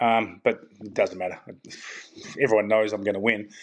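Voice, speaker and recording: A man talks at a moderate pace with an Australian accent. The background is quiet. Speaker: tour caddy. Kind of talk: casual chat.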